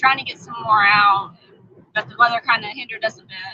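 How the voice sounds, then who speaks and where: A woman's fairly high voice with a Southern US accent. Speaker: homestead channel vlogger. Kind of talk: livestream chat with viewers. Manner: stammering, repeats when nervous.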